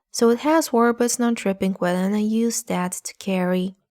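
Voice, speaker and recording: At a fairly slow pace, a woman talks with ordinary pitch variation, the recording very clean with a silent background and the sound dry and close with no echo. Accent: non-native. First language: not English. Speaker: art tutorial youtuber. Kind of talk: tutorial.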